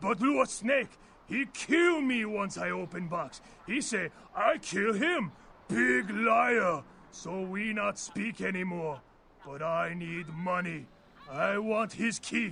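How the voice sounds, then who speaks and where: In a gruff put-on character voice, a man projects loudly at a high pitch, with lively intonation and a fairly slow pace. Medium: video game. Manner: clipped, drops articles, gruff.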